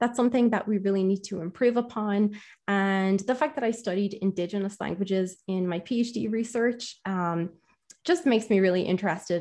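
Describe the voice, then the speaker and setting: Against a quiet background, a woman with an Irish accent speaks at a fairly quick pace, her medium pitch held in fairly even intonation. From Ireland. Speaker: conversational AI engineer and linguist. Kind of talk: interview conversation.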